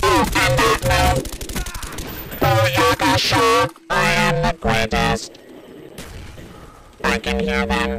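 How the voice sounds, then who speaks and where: In a put-on character voice, a man sounds raspy and robotic at a medium pitch, swinging very widely in pitch at a very slow pace while loud music plays in the background. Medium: game stream. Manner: clipped, mechanical callouts, boastful.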